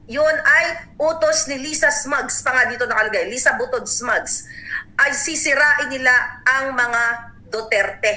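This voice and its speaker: A woman with a high-pitched, raised and projected voice talks at a fairly slow pace over noticeable background noise. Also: ordinary pitch variation. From Davao, Philippines. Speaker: political vlogger. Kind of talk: angry political rant, indignant and accusatory. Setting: online video channel monologue. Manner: furious, seething, emphatic and impassioned; urgent, warning tone, addressing listeners directly.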